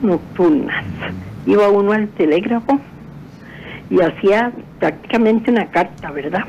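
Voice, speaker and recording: Fairly slow delivery with noticeable noise behind it. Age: 80s+. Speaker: caller. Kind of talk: casual chat.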